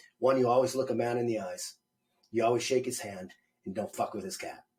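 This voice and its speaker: A man's somewhat breathy voice moves fairly quickly, with lively intonation. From Montana. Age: 50s. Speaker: army veteran, small business owner. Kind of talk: interview answer, casual.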